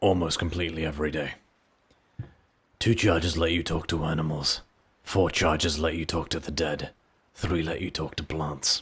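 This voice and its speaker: A man speaks in a put-on character voice, very deep and raspy, with monotone, flat intonation. He keeps a moderate pace broken by long, frequent pauses. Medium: actual play. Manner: measured, courteous.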